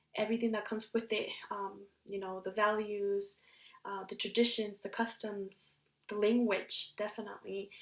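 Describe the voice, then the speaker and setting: Her fairly high pitch stays monotone and flat while her loudness swings widely, marking this woman's delivery. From US (moved from Mexico at six). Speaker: university student. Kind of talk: class presentation. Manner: hesitant, many fillers.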